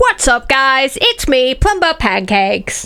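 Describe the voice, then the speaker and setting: A put-on character voice sounds female and sits high in pitch for a woman. It moves at a fairly slow pace. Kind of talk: hype intro. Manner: hyped, energetic.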